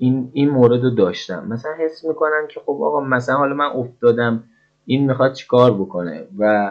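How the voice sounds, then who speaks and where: A man talks at a fairly quick pace with lively intonation. He has a normal speaking voice. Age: 40s. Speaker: interviewee. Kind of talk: testimony.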